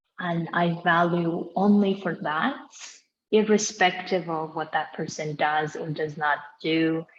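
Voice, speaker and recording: A woman with a non-native accent speaks at a fairly slow pace in a fairly low pitch, with ordinary pitch variation. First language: not English. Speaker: podcast host. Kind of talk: casual chat.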